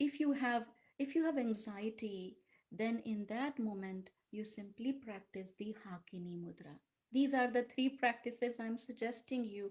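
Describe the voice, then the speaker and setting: A woman speaks at a moderate pace in a fairly high pitch, with ordinary pitch variation. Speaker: yoga teacher. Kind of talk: guided practice instruction.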